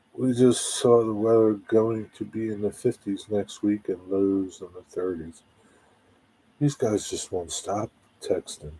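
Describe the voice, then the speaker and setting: Speaking at a fairly slow pace, the man has a fairly low, somewhat breathy voice with a dark, mellow tone and ordinary pitch variation. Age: 60s. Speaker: livestream host. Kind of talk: casual chat. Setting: live stream.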